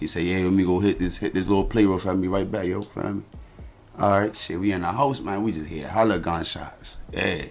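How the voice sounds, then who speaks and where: A man's very deep, low voice at a very fast pace with ordinary pitch variation, music in the background. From Baltimore, Maryland, US. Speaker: rapper. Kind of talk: casual chat.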